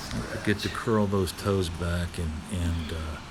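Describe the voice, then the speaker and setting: A man's very deep, low voice at a fairly slow pace, fairly even intonation, noticeable background noise and audible room echo. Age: 60s. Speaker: martial arts instructor. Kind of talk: exercise tutorial. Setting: outdoors. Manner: halting, many fillers.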